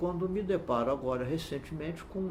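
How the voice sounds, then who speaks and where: With audible room echo and noticeable background noise, a man speaks at a moderate pace. His fairly high pitch moves in very wide swings. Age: 70s. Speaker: law professor and judge. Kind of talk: interview. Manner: halting, many fillers.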